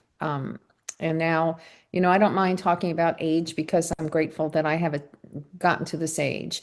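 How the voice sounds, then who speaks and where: A woman with a plain, everyday voice speaks with fairly even intonation against a quiet background. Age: 60s. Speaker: near-death experiencer, author. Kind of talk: interview testimony. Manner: earnest, reflective.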